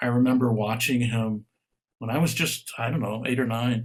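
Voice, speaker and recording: A man talks at a moderate pace and a medium pitch. His voice is somewhat breathy. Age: 70s. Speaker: author. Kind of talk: interview.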